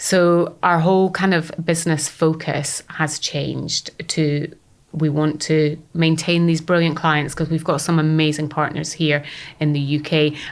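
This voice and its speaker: A woman with a very deep, low pitch speaks at a fairly slow pace, her loudness very even. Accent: Scottish. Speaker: startup founder. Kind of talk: podcast interview. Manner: animated.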